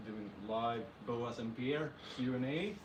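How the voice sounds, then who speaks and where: A man speaks at a medium pitch with a Swedish accent and ordinary pitch variation. Noticeable background noise and audible room echo are present. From Sweden. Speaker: snake breeder. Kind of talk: live stream Q&A.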